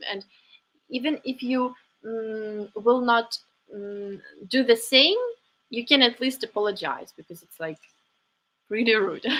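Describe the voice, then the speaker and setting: Fairly slow speech from a woman with a Ukrainian accent, fairly high in pitch, with ordinary pitch variation, long, frequent pauses and big swings in loudness. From Ukraine (Kyiv). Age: 20s. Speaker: live stream host. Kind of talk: live stream chat. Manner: halting, many fillers.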